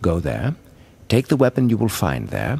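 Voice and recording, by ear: A man puts on a cartoonish character voice with very wide pitch swings, vocal fry, a slightly husky edge, and a slightly mellow tone. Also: fairly low pitch for a man, moderate pace.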